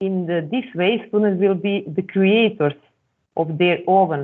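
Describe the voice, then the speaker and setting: A woman speaks at a fairly slow pace with a Serbian accent. Her pitch is medium, with ordinary variation. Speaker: academic presenter. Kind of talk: conference presentation. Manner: halting.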